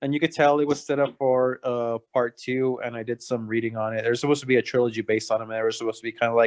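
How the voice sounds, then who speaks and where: Speaking very fast in a Spanish accent, a man uses a medium pitch with ordinary pitch variation, his voice dry and close with no echo over a quiet background. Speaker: podcast host. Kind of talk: casual chat.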